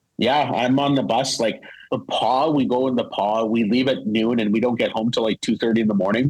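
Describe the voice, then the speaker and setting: Fairly quick and very even in loudness, this voice has fairly even intonation and a Canadian Prairie accent. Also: man, medium pitch for a man. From Manitoba, Canada (Winnipeg). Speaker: hockey play-by-play broadcaster. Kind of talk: casual podcast interview.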